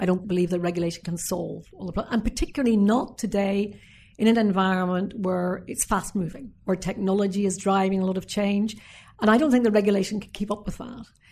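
Somewhat breathy and medium in pitch, a woman with a Northern Irish accent speaks very fast with fairly even intonation over a quiet background. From Northern Ireland. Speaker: former politician. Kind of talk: interview.

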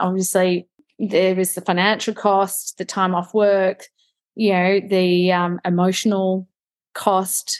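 Medium-pitched woman's voice in an Australian accent. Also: quiet background. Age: 30s. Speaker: BRCA mutation carrier sharing her story. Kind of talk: interview testimony.

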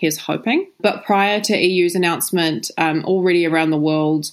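With a New Zealand accent, a woman speaks at a fairly low pitch and a fairly quick pace. Her pitch variation is ordinary, and the recording is very clean with a silent background. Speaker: animal rights campaign manager. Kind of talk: interview. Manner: casual with frequent fillers.

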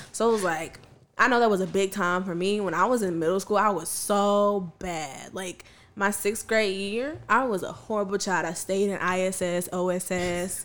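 With an American accent, a woman speaks in an unremarkable speaking voice at medium pitch, moderate pace and fairly even intonation. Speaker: math teacher and podcaster. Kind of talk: casual chat.

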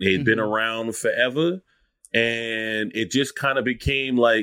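A man talks at a fairly slow pace. He has a slight Lowcountry South Carolina accent. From Charleston, South Carolina. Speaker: food account creator and writer. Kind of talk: casual interview chat.

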